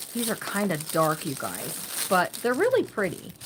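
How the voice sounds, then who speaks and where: The pace stays moderate. The speaker is a woman. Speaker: crafting channel host. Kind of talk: live-stream craft tutorial. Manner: casual, chatty; loud.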